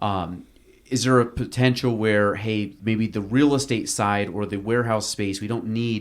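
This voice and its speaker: An unremarkable speaking voice, a man talks at a moderate pace with fairly low pitch and fairly even intonation on a very clean recording with a silent background. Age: 30s. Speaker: podcast host. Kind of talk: podcast interview.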